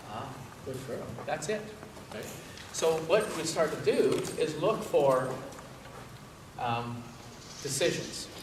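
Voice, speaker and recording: Amid noticeable background noise and audible room echo, a man with a fairly high pitch talks at a very slow pace with long, frequent pauses, lively intonation, and big swings in loudness. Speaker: dog trainer. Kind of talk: tutorial.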